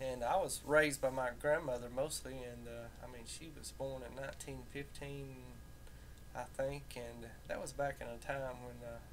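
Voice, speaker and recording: A man talks at a moderate pace with big swings in loudness. Audible room echo surrounds his voice. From US South, rural Tennessee near Nashville (southern Appalachia). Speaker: vlogger. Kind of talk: casual monologue. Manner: halting, many fillers.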